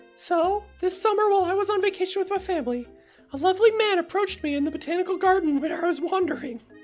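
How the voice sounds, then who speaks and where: A woman uses a put-on character voice, pitched extremely high and delivered at a very fast pace. Faint music sits in the background. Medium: game stream. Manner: breathless, gushing.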